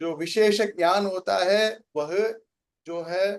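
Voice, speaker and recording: Pitched high for a man, his voice keeps a fairly even intonation. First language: Tamil (speaking Hindi). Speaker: organization representative. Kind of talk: inaugural speech. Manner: halting.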